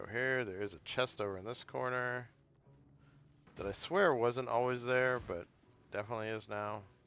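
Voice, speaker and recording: A man with a medium-pitched voice and a bright, sharp tone speaks with ordinary pitch variation and long, frequent pauses. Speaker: gaming streamer. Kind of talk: let's play commentary. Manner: fast; casual, with fillers.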